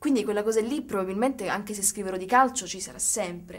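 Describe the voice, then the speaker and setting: This woman speaks very fast in a fairly high pitch, her pitch varying in an ordinary way. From Sicily, Catania; Sicily. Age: 20s. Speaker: writer; interviewee. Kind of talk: interview. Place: studio.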